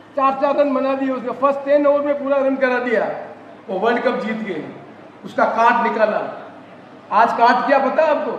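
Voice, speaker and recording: A man speaks at an extremely high pitch with fairly even intonation. Audible room echo and noticeable background noise fill the clip. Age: 70s. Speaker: politician. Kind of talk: political speech. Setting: party workers' convention with audience.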